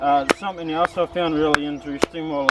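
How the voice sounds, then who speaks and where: A man speaks in a monotone with flat intonation over noticeable background noise. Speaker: bushcraft vlogger. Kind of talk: casual monologue while crafting. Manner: halting.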